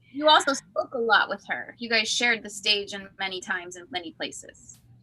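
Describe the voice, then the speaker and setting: A woman with an American accent talks at a fairly quick pace and a fairly high pitch, her intonation lively and her loudness swinging widely. Noticeable background noise sits behind her. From US Midwest. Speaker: show host. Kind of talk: casual chat.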